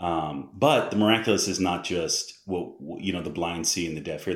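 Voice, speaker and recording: A man with an American accent talks in a very deep, low voice with ordinary pitch variation. Audible room echo surrounds his speech. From US Northeast (Massachusetts). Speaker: missionary. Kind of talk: casual interview.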